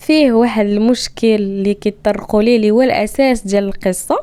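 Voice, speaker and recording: A woman speaks at a fairly high pitch. Her tone is dark and mellow. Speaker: podcast host. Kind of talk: casual monologue.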